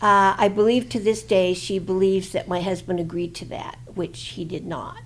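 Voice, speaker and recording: Amid noticeable background noise, a woman at medium pitch talks at a moderate pace with big swings in loudness. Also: ordinary pitch variation. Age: 80s+. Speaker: plaintiff in a lawsuit. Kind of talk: interview testimony. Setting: studio. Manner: halting, many fillers.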